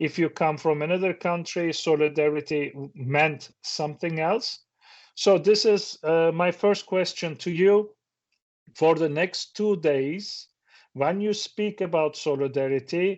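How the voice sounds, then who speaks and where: A man's high-pitched voice with a Turkish accent at a fairly slow pace. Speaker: professor. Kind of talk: seminar talk. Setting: stage with audience. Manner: halting.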